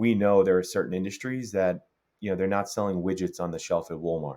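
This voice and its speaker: A very fast man with a very deep, low pitch and a New York accent, on a very clean recording with a silent background. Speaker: tech startup co-founder. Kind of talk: interview.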